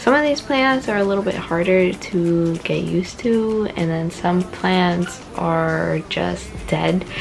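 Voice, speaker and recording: With music playing behind her and an audible room echo, a soft-spoken woman talks at a very slow pace with hardly any pauses. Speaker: plant vlogger. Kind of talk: casual vlog tour. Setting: at home. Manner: soft-spoken, indoor voice.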